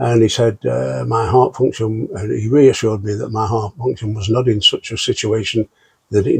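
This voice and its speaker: A man with a British accent talks in a fairly low pitch, somewhat breathy, with ordinary pitch variation. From UK. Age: 70s. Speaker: long COVID patient. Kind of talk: interview answer.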